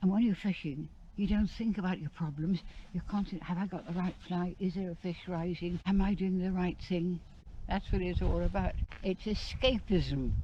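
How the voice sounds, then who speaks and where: At a fairly quick pace, a woman talks in a medium-pitched, dark, mellow voice that is somewhat breathy, with fairly even intonation. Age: 80s+. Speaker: veteran angler. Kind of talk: casual chat. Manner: halting.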